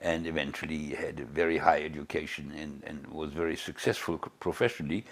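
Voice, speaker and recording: With a German accent, a man talks at a fairly quick pace with hardly any pauses. His voice is very deep and low, and his loudness swings widely. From Germany (Bielefeld). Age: 80s+. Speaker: Holocaust survivor. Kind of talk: interview. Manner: halting, with many repetitions.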